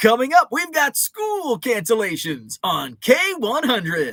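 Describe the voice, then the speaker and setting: In a put-on character voice, this man talks fairly slowly at an extremely high pitch. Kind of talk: top forty radio. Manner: over the top.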